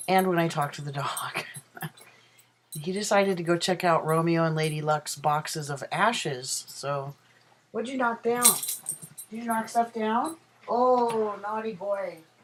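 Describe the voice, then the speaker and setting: A man's high voice, fairly slow, with lively intonation and long, frequent pauses, against noticeable background noise. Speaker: vlogger. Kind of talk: casual chat. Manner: halting.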